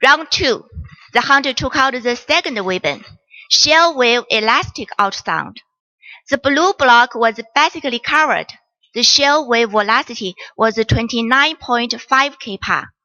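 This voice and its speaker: Speaking at a fairly slow pace with a Chinese accent, a woman uses a high voice with ordinary pitch variation. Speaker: doctor. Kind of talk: case presentation. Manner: formal.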